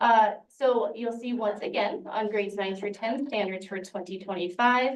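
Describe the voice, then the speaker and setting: A normal speaking voice from a woman, fairly high in pitch, at a moderate pace with hardly any pauses. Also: ordinary pitch variation. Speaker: education specialist presenting standards. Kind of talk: presentation to a board.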